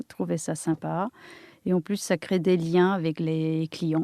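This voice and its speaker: A woman's dark, mellow voice at a fairly low pitch and a very slow pace, with fairly even intonation and a dry, close sound with no echo. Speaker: architect and interior designer. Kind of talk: interview. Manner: halting.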